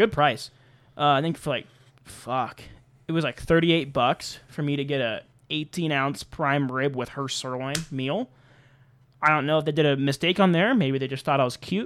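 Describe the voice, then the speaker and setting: In a plain, everyday voice, a man talks at a moderate pace with fairly high pitch and ordinary pitch variation. The recording is very clean, with a silent background. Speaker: podcast host. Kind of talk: casual chat.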